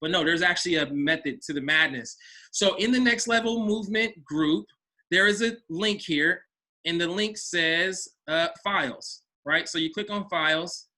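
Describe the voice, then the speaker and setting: This man's voice is high-pitched with a bright, sharp tone and ordinary pitch variation. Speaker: business coach. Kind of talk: online coaching session. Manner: fast; casual.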